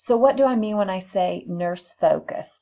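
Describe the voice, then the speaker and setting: A woman speaks at a moderate pace with ordinary pitch variation and a somewhat breathy quality. The background is quiet. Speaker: nursing instructor. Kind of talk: recorded lecture.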